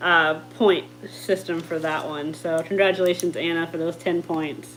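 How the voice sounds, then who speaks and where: Music plays in the background as a woman talks at a moderate pace. She has an American accent and a fairly low pitch. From Jacksonville, Florida. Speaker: aquarium YouTuber. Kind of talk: livestream chat. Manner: animated.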